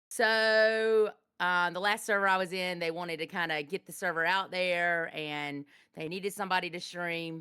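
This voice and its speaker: A loud woman's voice, fairly low in pitch, with a bright, sharp tone, fairly even intonation and a moderate pace, on a very clean recording with a silent background. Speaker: game streamer and roleplayer. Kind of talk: interview on a live-stream podcast.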